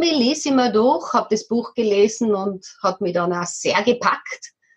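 A woman speaks at a moderate pace with a fairly high pitch. Her voice is somewhat breathy and her pitch varies in an ordinary way. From Austria, Tyrol. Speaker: local politician and nonviolent communication practitioner. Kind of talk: interview.

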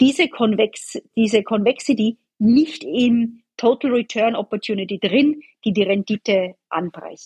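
Recorded with a dry, close sound and no echo, a woman speaks in a fairly high, somewhat breathy voice with ordinary pitch variation. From Austria. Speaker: bond portfolio manager. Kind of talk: interview.

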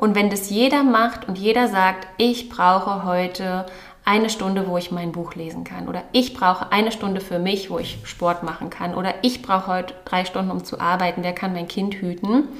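A woman at medium pitch and a moderate pace, with ordinary pitch variation and hardly any pauses, amid audible room echo and noticeable background noise. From Berlin, Germany. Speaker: podcast co-host. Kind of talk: casual chat.

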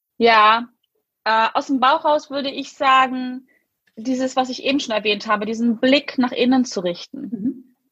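A woman's high, bright and sharp voice moves at a fairly slow pace with ordinary pitch variation. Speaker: success and mindset coach. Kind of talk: interview.

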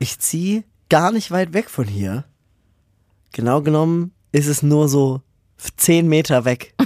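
Very slow and full of long, frequent pauses, a man speaks with a dark, mellow tone at a fairly high pitch and lively intonation. The recording is very clean, with a silent background and a dry, close sound with no echo. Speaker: podcast co-host, paramedic. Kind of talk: casual chat.

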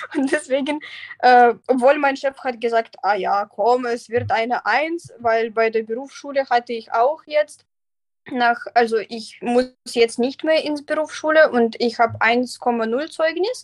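Very slowly, a woman speaks in a high voice with ordinary pitch variation. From Belarus. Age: 20s. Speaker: vocational trainee, trained lawyer. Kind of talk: interview. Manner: halting, many fillers.

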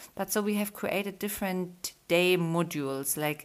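Speaking with a German accent at a moderate pace, a woman shows ordinary pitch variation on a very clean recording with a silent background. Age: 30s. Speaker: podcast host, yoga studio owner. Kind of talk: casual interview. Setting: home recording with baby on lap.

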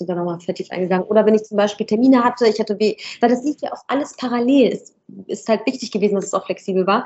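Talking at a very fast pace, a woman uses a fairly high pitch and ordinary pitch variation. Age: 20s. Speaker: business owner in medical staffing. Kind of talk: interview.

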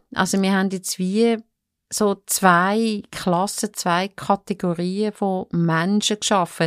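Very slow, monotone, flat female speech at a medium pitch, dry and close with no echo, on a very clean recording with a silent background. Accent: Swiss. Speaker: court reporter. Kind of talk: casual chat.

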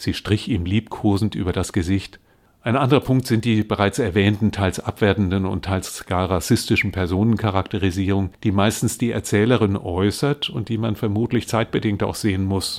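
On a very clean recording with a silent background, a man speaks in a plain, everyday voice at a fairly low pitch and moderate pace, with fairly even intonation and hardly any pauses. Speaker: retired teacher and translator. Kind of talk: interview with reading aloud. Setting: studio.

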